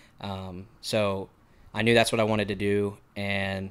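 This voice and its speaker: A man's fairly low, monotone, flat voice with a Texan accent on a very clean recording with a silent background. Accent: Texan American. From Texas (Montgomery, near Houston). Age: 20s. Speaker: musician with a full-time sales job. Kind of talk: casual podcast interview.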